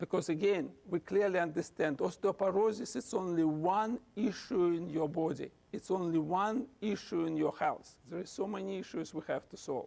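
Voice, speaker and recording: With a Russian accent, a man speaks in a high pitch with a dark, mellow tone. His pace is moderate and his pitch variation ordinary. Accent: non-native English, Russian. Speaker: physician and researcher. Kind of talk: lecture; answering audience questions. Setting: lecture hall with audience.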